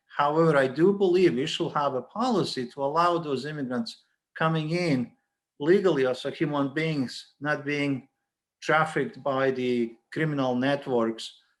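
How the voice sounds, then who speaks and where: A man in a non-native accent with ordinary pitch variation. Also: moderate pace. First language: not English. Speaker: college dean. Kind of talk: panel discussion. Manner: halting, many repeated words.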